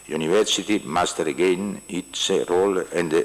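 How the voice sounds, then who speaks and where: A man with an Italian accent, over noticeable background noise. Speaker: university official. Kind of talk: formal speech. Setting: conference hall. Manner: halting.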